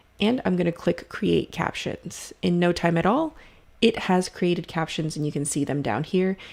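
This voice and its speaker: A woman's fairly low voice, an unremarkable speaking voice, with ordinary pitch variation on a very clean recording with a silent background. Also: moderate pace. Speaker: video editing instructor. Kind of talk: tutorial.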